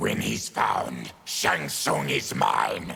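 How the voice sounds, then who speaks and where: A man's growling, cartoonish character voice. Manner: gruff, grim.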